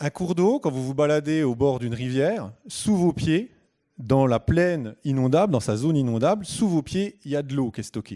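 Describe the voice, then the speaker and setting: Speaking at a moderate pace, a man with a fairly high pitch and a dark, mellow tone uses lively intonation on a very clean recording with a silent background. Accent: Franche-Comté. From Franche-Comté, eastern France. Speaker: hydrobiologist giving a public talk. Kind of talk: conference talk. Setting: stage with live audience. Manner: hesitant, many filler sounds.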